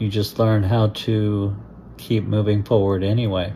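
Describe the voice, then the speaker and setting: Speaking in a monotone, flat intonation, a man uses a fairly low pitch and a dark, mellow tone. He is somewhat breathy and keeps a fairly slow pace. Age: 60s. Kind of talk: personal story told to camera. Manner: reflective, slow.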